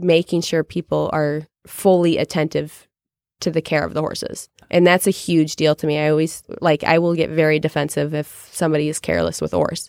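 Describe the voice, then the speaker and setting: With an American accent, a woman speaks at a very deep, low pitch in a monotone, flat delivery at a moderate pace, the sound dry and close with no echo on a very clean recording with a silent background. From Chicago. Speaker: head horse trainer. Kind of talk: interview.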